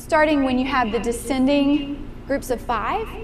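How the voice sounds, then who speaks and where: A woman speaks at a high pitch and a fairly slow pace, her tone animated. Noticeable background noise and audible room echo fill the recording. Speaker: piano teacher giving a master class. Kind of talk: master class instruction. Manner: animated, encouraging.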